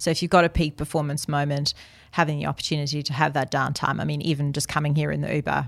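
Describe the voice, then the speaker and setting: Using vocal fry, a woman speaks very fast at a very deep, low pitch with monotone, flat intonation. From South Africa. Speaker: company managing director. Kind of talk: interview conversation.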